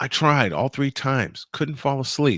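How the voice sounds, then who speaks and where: A man speaks with a New York accent. The recording is very clean with a silent background, and the sound is dry and close with no echo. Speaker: sports podcast host. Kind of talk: casual chat.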